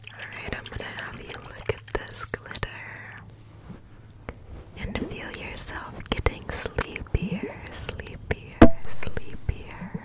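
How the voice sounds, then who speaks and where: A woman whispers in a gentle tone at a very slow pace. Her speech has long, frequent pauses. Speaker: ASMR creator. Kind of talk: soft ASMR whisper roleplay. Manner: gentle sleepy ASMR whisper. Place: home room. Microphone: studio mic.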